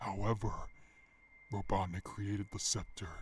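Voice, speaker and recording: Using a put-on character voice, a man speaks at a moderate pace. His tone is calm and menacing. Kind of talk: dark narration. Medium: machinima. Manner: calm, condescending, menacing.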